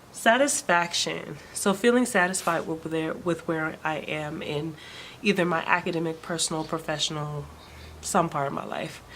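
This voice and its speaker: A soft-spoken woman with ordinary pitch variation, amid noticeable background noise. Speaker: vlogger. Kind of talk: personal vlog update. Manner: hesitant, many fillers.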